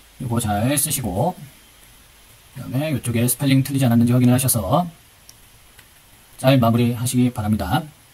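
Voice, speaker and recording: A man talks at a very fast pace. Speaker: high school teacher. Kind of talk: tutorial. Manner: slurred at times.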